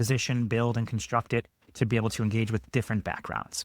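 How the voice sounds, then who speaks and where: A man with an American accent speaks at a very fast pace and medium pitch. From Chicago, US Midwest. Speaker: sociology professor. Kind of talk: podcast interview. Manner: fast talker.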